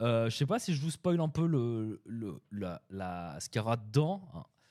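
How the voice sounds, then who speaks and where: Lively intonation marks this man's speech, which has a dark, mellow tone. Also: very clean recording, silent background. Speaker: web developer streamer. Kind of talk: live stream chat. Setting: live stream. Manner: hesitant, many fillers.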